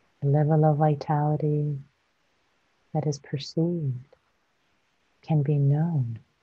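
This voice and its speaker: A woman's very deep, low, somewhat breathy voice, gentle and calm with a dark, mellow tone, monotone and flat, at a very slow pace with long, frequent pauses. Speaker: meditation teacher. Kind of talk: guided meditation. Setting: live online stream. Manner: slow, soft-spoken, gentle; calm, soothing, with long pauses.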